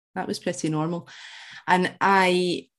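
A woman in a Scottish accent, moderate pace and fairly even intonation, over a quiet background. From Central Scotland (born in Glasgow). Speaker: alcohol freedom coach. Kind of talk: interview.

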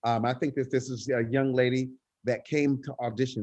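Speaking at a fairly quick pace, a man has a medium pitch and an unremarkable speaking voice. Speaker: choir director, nonprofit leader. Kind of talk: casual interview.

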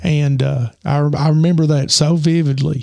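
A fairly high-pitched man with fairly even intonation, amid noticeable background noise. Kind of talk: testimony.

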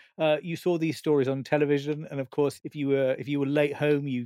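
This man talks at a fairly quick pace, his fairly high pitch held in a monotone, flat intonation, with a dry, close sound and no echo. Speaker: broadcaster and cultural historian. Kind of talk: casual chat.

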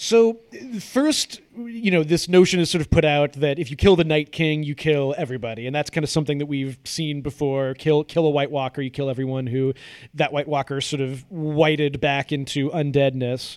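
Here is a man with an unremarkable speaking voice, fairly high in pitch. His pace is moderate and his pitch variation ordinary. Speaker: co-host, TV fan. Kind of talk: casual chat discussing a TV episode.

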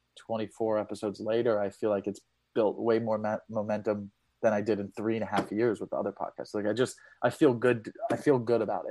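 Dry and close with no echo, the recording has a man talking at a fairly quick pace in a fairly low pitch with a dark, mellow tone. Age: 30s. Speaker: comedian. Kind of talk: casual chat. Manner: fast.

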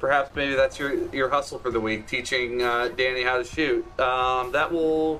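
A plain, everyday voice at a fairly slow pace. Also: man. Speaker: game master. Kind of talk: tabletop roleplaying game session.

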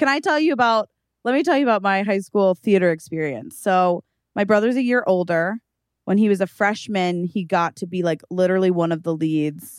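Animated and fairly quick, a woman at medium pitch uses lively intonation, recorded very cleanly against a silent background with a dry, close sound and no echo. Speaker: podcast co-host. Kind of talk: casual comedic chat. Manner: animated, joking.

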